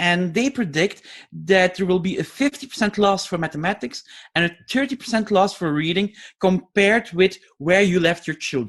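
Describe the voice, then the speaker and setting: Against a quiet background, the speaker talks at a moderate pace with a Flemish accent. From Flanders, Belgium. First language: Flemish (Dutch). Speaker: educational scientist and teacher trainer. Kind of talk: lecture. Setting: webinar.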